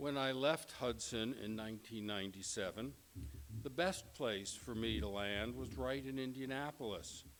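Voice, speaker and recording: A man with an American accent, medium pitch and lively intonation, at a fairly slow pace amid audible room echo. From New York. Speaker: professor. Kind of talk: lecture. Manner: formal.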